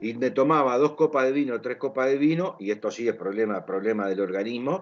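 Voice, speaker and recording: A man with lively intonation. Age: 60s. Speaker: interviewer. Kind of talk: casual interview chat. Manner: hesitant, many fillers.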